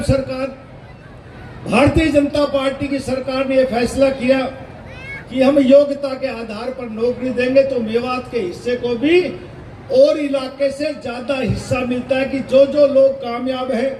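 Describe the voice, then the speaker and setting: Over noticeable background noise, a man speaks at an extremely high pitch with monotone, flat intonation. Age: 60s. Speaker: politician, state minister. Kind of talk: political speech.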